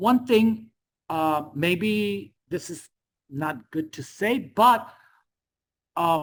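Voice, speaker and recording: Very slowly, a woman with a non-native accent speaks, her pitch swinging very widely. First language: Spanish. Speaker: teacher. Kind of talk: lecture. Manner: halting.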